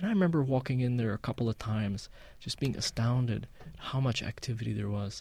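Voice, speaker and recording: Somewhat breathy and dark, mellow in tone, a man's voice comes through on a very clean recording with a silent background. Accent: American. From Palestinian American. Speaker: musician. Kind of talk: casual interview. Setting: studio.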